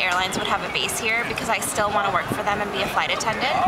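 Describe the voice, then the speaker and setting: A woman speaks over loud background noise. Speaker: interviewee. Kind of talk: casual vlog chat. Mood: relaxed, cheerful. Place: street. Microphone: phone near.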